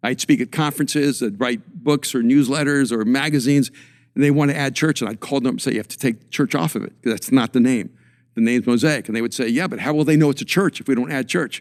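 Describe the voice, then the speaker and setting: On a very clean recording with a silent background, a man with a fairly high pitch talks very fast with ordinary pitch variation. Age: 60s. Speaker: pastor and author. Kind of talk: casual chat.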